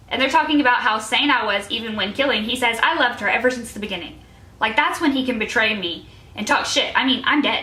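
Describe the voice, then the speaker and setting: With noticeable background noise behind her, a woman talks very fast in a fairly high pitch with lively intonation. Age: 20s. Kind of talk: casual talk to camera.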